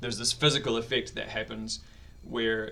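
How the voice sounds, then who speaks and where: A man with a New Zealand accent at a moderate pace. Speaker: vlogger. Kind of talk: personal video diary. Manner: hesitant, many fillers.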